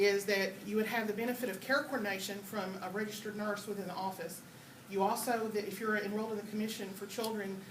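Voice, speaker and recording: A woman with an American accent at medium pitch, very fast and monotone, with audible room echo and noticeable background noise. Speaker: nurse. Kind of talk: presentation to parents.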